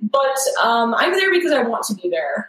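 With an American accent, a woman talks over noticeable background noise. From upstate New York. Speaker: systems engineer. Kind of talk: casual chat.

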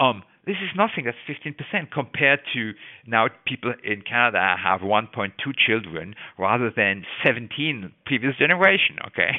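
A man speaks with an unremarkable speaking voice at a medium pitch. His intonation is lively and his pace fairly slow. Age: 60s. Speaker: biology professor. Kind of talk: interview.

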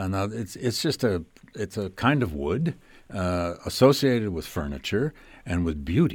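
With an American accent, a man speaks in a very deep, low pitch with very wide pitch swings, on a very clean recording with a silent background. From US Midwest, Flint, Michigan. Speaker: history professor and podcast host. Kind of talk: interview. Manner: hesitant, with fillers.

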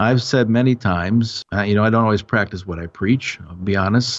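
A man with a normal speaking voice talks at a fairly quick pace, his pitch fairly low with ordinary pitch variation. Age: 40s. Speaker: youth ministry leader. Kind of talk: interview.

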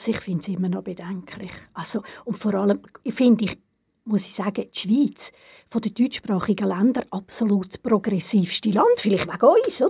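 This woman's voice has a dark, mellow tone and medium pitch, sounds somewhat breathy, moves at a moderate pace, and rises and falls sharply in loudness. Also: ordinary pitch variation. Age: 70s. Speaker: retired cultural organizer. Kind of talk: casual interview.

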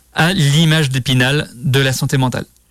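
This man's voice sits at a fairly high pitch. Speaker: radio host. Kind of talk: solo radio show on LGBTQIA+ vocabulary. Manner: hesitant, many fillers.

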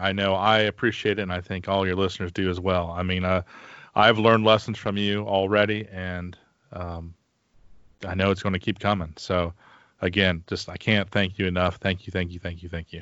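This man has a fairly low pitch. It is an ordinary speaking voice. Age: 40s. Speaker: podcast host and firefighter. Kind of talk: interview conversation. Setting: recording from home during isolation.

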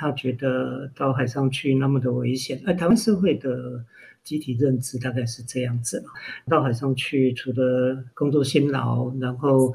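Somewhat breathy, a man speaks at medium pitch and moderate pace with fairly even intonation. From Taiwan, Hualien. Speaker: marine literature writer and foundation founder. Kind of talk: interview. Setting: remote interview.

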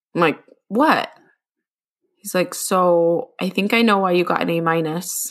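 A woman with an American accent speaks at a fairly slow pace and medium pitch, with ordinary pitch variation and long, frequent pauses. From Utah. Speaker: children's author and podcast co-host. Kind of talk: casual chat.

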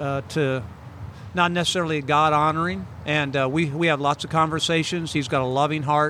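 A man's normal speaking voice, fairly high-pitched, at a moderate pace with fairly even intonation. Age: 60s. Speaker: pastor. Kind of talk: casual interview chat.

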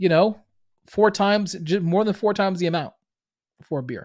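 The recording is very clean, with a silent background. A man with a Boston accent talks in a high pitch. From Boston, US Northeast. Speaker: business podcast host and coach. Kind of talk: solo monologue, business talk. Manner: filler-heavy, conversational.

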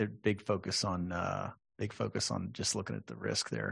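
Vocal fry runs through this voice with an American accent, set against a quiet background. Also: man. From Texas, San Antonio. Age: 40s. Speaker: podcast host. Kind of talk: interview.

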